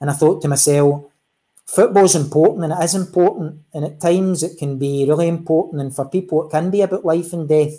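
Speaking fairly quickly in a Glaswegian accent, a man has a dark, mellow tone, a fairly high pitch and fairly even intonation against a quiet background. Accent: Glaswegian Scottish. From Scotland, East End of Glasgow; Scotland. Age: 40s. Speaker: football referee; guest. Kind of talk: interview. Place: home room.

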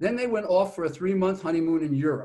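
Against a quiet background, a man talks with lively intonation. His pitch is high. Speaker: speaker. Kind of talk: lecture. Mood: lively storytelling. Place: home room. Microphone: video call.

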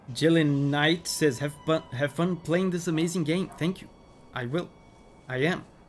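Faint music plays in the background as a man talks at a moderate pace in a fairly high pitch. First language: not English. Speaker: gaming streamer. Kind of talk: live gameplay stream commentary. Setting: live stream. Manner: animated. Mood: playful, joking.

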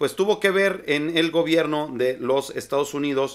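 A man speaks with lively intonation. His pace is fairly slow. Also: quiet background. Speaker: political commentator. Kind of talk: commentary. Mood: indignant, critical. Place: home room.

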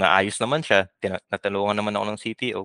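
A man speaks in a bright, sharp tone, the sound dry with no echo against a quiet background. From Philippines. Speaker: software engineer; podcast guest. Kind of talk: interview. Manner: halting. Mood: relaxed, smiling, amused. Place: home room. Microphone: headset.

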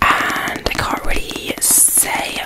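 Whispering and soft-spoken, a woman can be heard over loud background noise. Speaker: book reviewer. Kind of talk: casual vlog chat. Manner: soft close-mic ASMR whisper. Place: home room. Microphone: studio mic.

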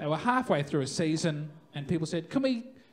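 A man speaks with an Australian accent. His pitch swings very widely. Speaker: stand-up comedian. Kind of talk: live stand-up comedy set. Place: stage. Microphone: handheld.

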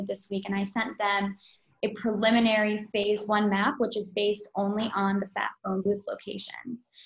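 In a room with audible echo, a woman speaks at a medium pitch and moderate pace, somewhat breathy and with monotone, flat intonation. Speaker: company representative. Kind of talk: presentation. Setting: video call. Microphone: video call.

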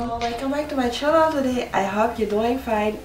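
A woman is talking, her pitch varying in an ordinary way. Behind her there is noticeable background noise. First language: French. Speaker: YouTuber and stylist. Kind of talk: casual vlog. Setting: home video.

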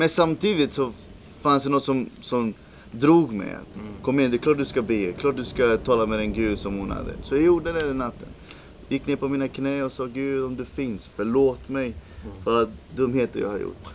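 Over light background noise, a man with a Spanish accent talks with ordinary pitch variation. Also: moderate pace. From El Salvador, raised in Swedish suburbs from age 11. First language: Spanish (speaking Swedish). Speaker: missionary leader. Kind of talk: interview testimony. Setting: outdoors at a game park camp in South Africa. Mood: reflective personal testimony.

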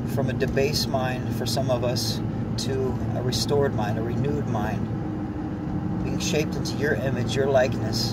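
A man speaks in a dry sound with no echo, over loud background noise. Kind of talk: spoken-word poem then fervent prayer and exhortation. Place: car. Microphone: phone near.

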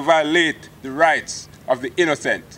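Speaking at a fairly slow pace, a man talks. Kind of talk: formal acceptance speech. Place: open country. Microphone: podium.

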